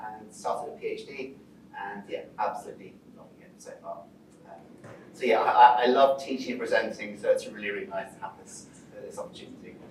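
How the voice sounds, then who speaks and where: A man at a fairly quick pace, big swings in loudness and audible room echo. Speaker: PhD student presenting research. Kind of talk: lecture. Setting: presentation to a live audience. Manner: fast when enthusiastic; hesitant, many fillers.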